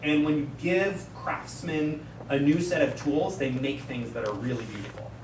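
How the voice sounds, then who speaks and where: Noticeable background noise fills this clip, along with audible room echo. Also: man. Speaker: research scientist, conference speaker. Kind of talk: conference talk with Q&A. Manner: fast.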